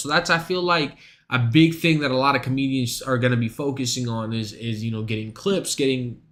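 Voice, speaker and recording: This man has a fairly high pitch and an animated tone. His pace is moderate, with ordinary pitch variation. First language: not English. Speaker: streamer and stand-up comic. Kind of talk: casual stream chat.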